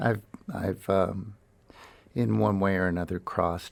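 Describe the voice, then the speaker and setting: A man with an American accent, very deep and low in pitch, at a moderate pace, on a very clean recording with a silent background. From US. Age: 60s. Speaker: jazz musician. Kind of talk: radio interview. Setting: radio studio. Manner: halting.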